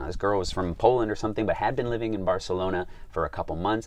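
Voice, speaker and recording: A Chicago accent over a quiet background. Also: man. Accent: American, Chicago. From US, Chicago. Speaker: travel guide vlogger. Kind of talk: vlog talk to camera. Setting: filming while traveling in Slovakia.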